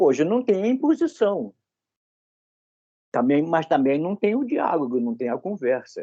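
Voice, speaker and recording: A man's high-pitched voice with a dark, mellow tone and very wide pitch swings, at a fairly slow pace with long, frequent pauses, in a dry, close sound with no echo. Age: 80s. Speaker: study group participant. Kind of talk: group study discussion.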